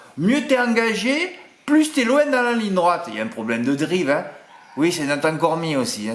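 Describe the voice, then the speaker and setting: A man's pitch swings very widely as he talks at a moderate speed, with clear background noise and audible echo from the room. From southern France (Marseille). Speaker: horse racing tipster. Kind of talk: casual chat to viewers, reading comments. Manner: animated, chatty.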